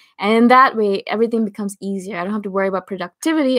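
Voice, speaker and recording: A woman's medium-pitched voice, with ordinary pitch variation, comes through a very clean recording against a silent background. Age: 30s. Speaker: YouTuber on personality types. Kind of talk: live stream Q&A chat. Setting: live stream reading chat comments.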